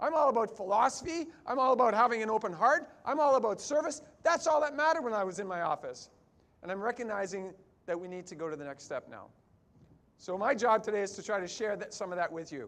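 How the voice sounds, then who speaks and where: A high-pitched man with a Canadian accent, very fast, with very wide pitch swings and big swings in loudness. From Canada. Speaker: chiropractor speaker. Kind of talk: conference keynote talk.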